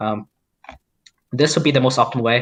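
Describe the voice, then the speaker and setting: With a non-native accent, this man's voice sits at a medium pitch. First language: not English. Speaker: mod developer. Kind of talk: live stream coding walkthrough. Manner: halting.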